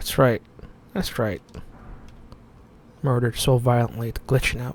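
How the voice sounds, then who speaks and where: The speaker is soft-spoken, with ordinary pitch variation. The pace is moderate. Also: man, medium pitch for a man. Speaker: gaming streamer. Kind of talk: gameplay commentary. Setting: dark room at home, on camera.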